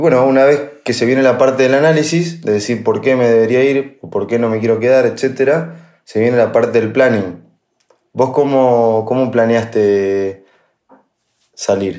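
Heard with audible room echo, a man speaks at a medium pitch and a fairly slow pace, with ordinary pitch variation. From Argentina, La Pampa. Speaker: podcast co-host, tech sales. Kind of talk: casual chat.

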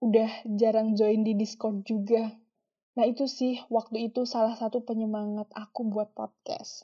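With monotone, flat intonation, a woman speaks at a fairly slow pace in a fairly high pitch, her voice somewhat breathy with a dark, mellow tone, in a dry, close sound with no echo. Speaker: solo podcaster. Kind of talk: casual monologue.

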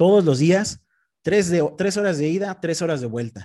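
A man's dark, mellow tone with very wide pitch swings, at a fairly slow pace. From central Mexico, Texcoco area. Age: 20s. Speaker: content creator and radio host. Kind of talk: casual interview.

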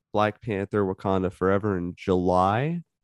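Speaking at a fairly slow pace, a man with a fairly low pitch has an ordinary speaking voice, recorded dry and close with no echo. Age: young. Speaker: returning podcast guest. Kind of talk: casual chat.

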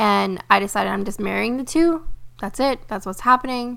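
A woman speaks with a bright, sharp, animated tone at a moderate pace, her pitch fairly high with ordinary variation. The recording is very clean, with a silent background. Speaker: podcast host and spiritual business coach. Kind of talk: casual monologue.

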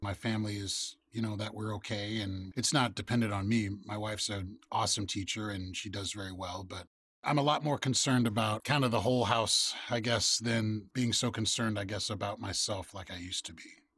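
An unremarkable speaking voice with an American accent moves at a fairly quick pace with ordinary pitch variation, recorded very cleanly against a silent background. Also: man. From Chicago area, Illinois (Evanston). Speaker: actor. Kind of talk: casual interview chat.

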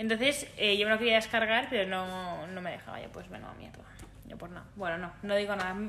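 A woman of medium pitch speaks fairly quickly in a bright, sharp tone, with ordinary pitch variation, big swings in loudness and audible room echo. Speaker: podcast host. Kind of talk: casual chat.

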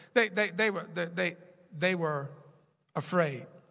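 A man speaks in a raised, projected voice, bright and sharp in tone, with lively intonation. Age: 70s. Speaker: pastor. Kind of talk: sermon. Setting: church. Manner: halting.

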